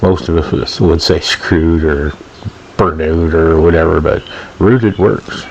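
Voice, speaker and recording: Amid noticeable background noise, a man speaks with a very deep, low pitch at a very even loudness. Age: 60s. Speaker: DIY boat builder. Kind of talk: video voiceover commentary. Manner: casual with frequent fillers.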